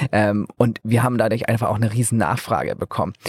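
With a normal speaking voice at medium pitch, a man talks at a fairly quick pace and fairly even intonation, the sound dry and close with no echo. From northern Germany, Flensburg. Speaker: energy startup founder. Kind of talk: interview. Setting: mobile podcast studio at trade fair.

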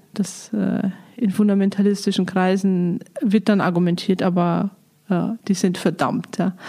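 Background noise is noticeable as a woman speaks at a moderate pace. Her intonation stays flat and monotone. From Lower Bavaria, Germany. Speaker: biblical scholar, director of a Bible institute. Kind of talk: interview. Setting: monastery, in person.

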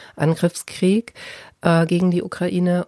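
Heard dry and close with no echo, a woman has a dark, mellow tone and a fairly low pitch. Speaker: podcast host, journalist. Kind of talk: interview.

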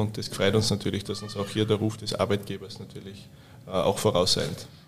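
This man's delivery is flat and monotone, moving at an average speed. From Austria, Styria. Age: 30s. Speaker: hotel director. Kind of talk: casual interview. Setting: hotel wine room.

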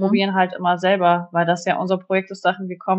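This is a woman's voice. Her pitch is medium. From northwestern Germany, Osnabrück area. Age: 30s. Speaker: homeowner renovating her house. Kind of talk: interview.

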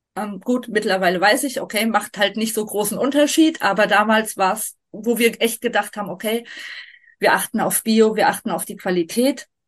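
A woman's normal speaking voice, fairly high-pitched, with ordinary pitch variation and a moderate pace. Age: 40s. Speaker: vegan nutrition advisor and long-term traveller. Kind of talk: casual interview.

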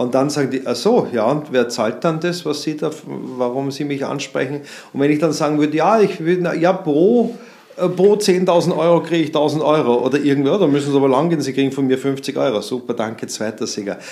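Noticeable background noise accompanies a man speaking fairly quickly at a fairly high pitch with ordinary pitch variation. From Austria, Vienna. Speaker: marketing consultant. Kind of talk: interview. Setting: in-person studio conversation.

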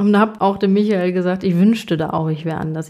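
A woman speaks at a medium pitch in a dark, mellow tone. Her intonation stays fairly even. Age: 30s. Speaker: podcast host and coach. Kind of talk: solo monologue.

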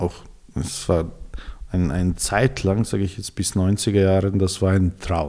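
Very deep and low in pitch, a man with a dark, mellow tone speaks at a very slow pace with fairly even intonation and long, frequent pauses. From Serbia, Belgrade. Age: 40s. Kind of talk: interview. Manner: halting.

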